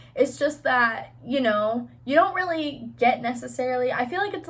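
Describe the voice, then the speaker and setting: This woman's high voice keeps a moderate pace, and her pitch varies in an ordinary way. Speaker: YouTuber and nursing assistant. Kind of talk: casual vlog talk to camera. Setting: sitting at home on her bed. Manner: stutters at times.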